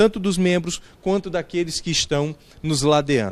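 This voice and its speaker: This man has a northeastern Brazilian accent and a high pitch. He speaks at a fairly slow pace with lively intonation. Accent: noticeable northeastern Brazilian. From Alagoas, northeastern Brazil. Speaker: pastor. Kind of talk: interview. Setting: church.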